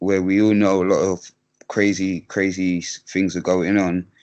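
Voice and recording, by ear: A man speaks in a low pitch at a moderate pace. His tone is slightly mellow, with little pitch movement.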